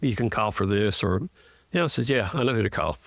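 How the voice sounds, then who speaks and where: With a Southern US accent, a man speaks at a fairly low pitch on a very clean recording with a silent background. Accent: Southern US (Georgia). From northwest Georgia. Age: 60s. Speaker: state representative. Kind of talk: casual interview.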